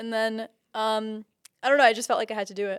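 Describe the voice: A woman speaks at a fast pace in a clear, smooth tone with fairly even intonation, on a very clean recording with a silent background. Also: fairly high pitch for a woman.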